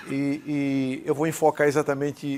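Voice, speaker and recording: This is a man speaking at a fairly high pitch. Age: 60s. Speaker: cardiologist, electrophysiologist. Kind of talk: medical lecture. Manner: informal, conversational.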